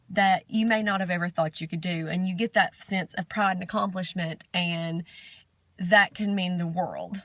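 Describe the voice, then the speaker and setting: A woman with a Southern US accent, medium pitch, fairly even intonation and a moderate pace. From Southern United States. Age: 30s. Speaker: amateur runner. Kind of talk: video diary.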